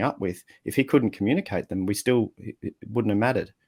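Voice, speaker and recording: Recorded very cleanly against a silent background, with a dry, close sound and no echo, a man with an Australian accent speaks at a moderate pace, fairly low in pitch, with ordinary pitch variation. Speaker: communication coach and writer. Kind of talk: podcast interview answer. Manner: relaxed, casual.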